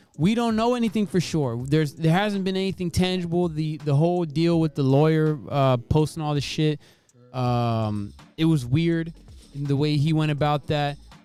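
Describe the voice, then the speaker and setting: Music in the background behind a man's fairly high voice, moderate in pace, with ordinary pitch variation. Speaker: podcast host. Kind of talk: casual chat.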